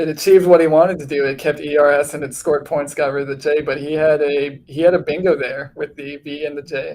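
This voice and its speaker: A man with an American accent, fairly high-pitched, talking very fast with hardly any pauses, in a flat monotone. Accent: Wisconsin accent, slight, slips out. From Wisconsin. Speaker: Scrabble commentator. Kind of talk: live game commentary. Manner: hesitant, many fillers and repeats.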